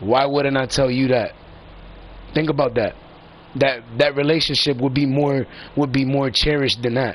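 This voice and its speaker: Animated in tone, a man speaks at a moderate pace with long, frequent pauses. His pitch is fairly high and his loudness very even. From Puerto Rican heritage, US. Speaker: gaming live streamer. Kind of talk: casual rant to stream viewers.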